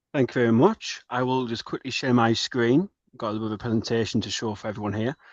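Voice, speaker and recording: A man with a North East England accent talks at a very fast pace. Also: medium pitch for a man, ordinary pitch variation. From northern England, Middlesbrough. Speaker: bank graduate trainee. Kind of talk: webinar presentation.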